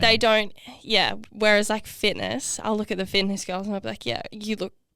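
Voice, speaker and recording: A woman with an Australian accent talks at a moderate pace in a bright, sharp tone. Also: medium pitch for a woman, fairly even intonation. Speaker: fitness competitor, podcast co-host. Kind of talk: casual podcast conversation.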